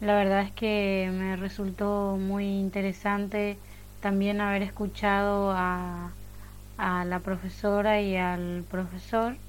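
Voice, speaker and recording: Monotone, flat intonation at a very slow pace, with audible room echo. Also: woman, medium pitch for a woman. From Paraguay. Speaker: university student. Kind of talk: round table talk.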